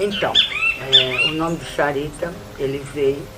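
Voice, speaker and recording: A woman's very slow speech with audible room echo and noticeable background noise. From Brazil, Sergipe (Northeast). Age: 60s. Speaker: Romani spiritual leader. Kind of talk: documentary interview.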